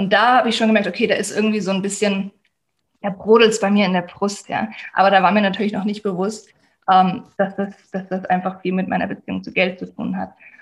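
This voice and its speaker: Very fast, monotone speech with flat intonation and vocal fry. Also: woman, medium pitch for a woman. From Germany. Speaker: life coach. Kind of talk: interview.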